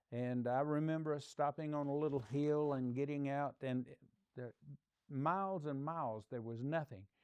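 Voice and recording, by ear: Clear and smooth, a man's fairly high-pitched voice also carries a slightly mellow tone. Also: ordinary pitch variation, moderate pace.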